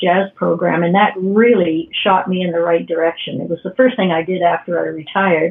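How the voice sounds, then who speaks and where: A woman with a fairly low pitch and fairly even intonation talks at a fairly quick pace over noticeable background noise. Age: 60s. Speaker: retired piano technician learning jazz. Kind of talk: podcast interview.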